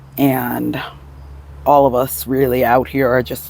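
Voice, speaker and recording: Noticeable background noise sits behind a man's voice. He speaks very slowly, his medium pitch held in a fairly even intonation. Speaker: vlogger. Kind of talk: casual vlog monologue. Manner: hesitant, many fillers.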